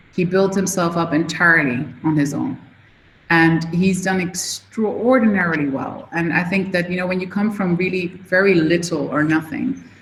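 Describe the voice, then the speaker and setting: In a room with audible echo, a woman with a fairly low voice speaks at a moderate pace with ordinary pitch variation. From Switzerland. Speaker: media company CEO. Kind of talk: guest talk to students. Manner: casual, conversational.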